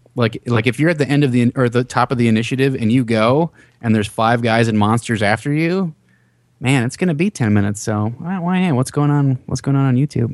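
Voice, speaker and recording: A man with an American accent speaks at a very fast pace and medium pitch. His loudness stays very even, and his pitch varies in an ordinary way. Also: quiet background. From US Midwest, Minnesota. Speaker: actor and web series creator. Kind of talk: casual interview. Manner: hesitant, many fillers.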